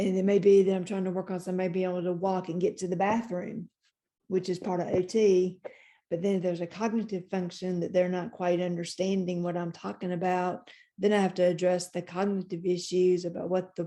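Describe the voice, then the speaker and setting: At a fairly quick pace, a woman talks in a medium pitch with monotone, flat intonation. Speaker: occupational therapist and stroke survivor. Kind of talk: support group talk. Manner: halting.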